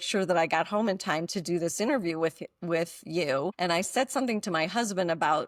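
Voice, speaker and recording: This very clean recording has a silent background and a dry, close sound with no echo, carrying a plain, everyday voice with ordinary pitch variation. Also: woman. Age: 60s. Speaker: mindfulness teacher and author. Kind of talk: podcast interview.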